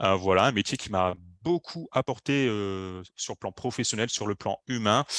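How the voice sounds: Fairly low-pitched with ordinary variation, a man has a fairly bright tone in a dry, close sound with no echo.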